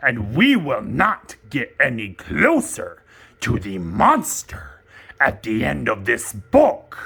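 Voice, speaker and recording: A cartoonish character voice at a very slow pace. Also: man. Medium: puppet. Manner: excitable, fretful.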